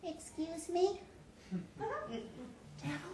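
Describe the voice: Someone does a put-on character voice with slight echo and clear background noise.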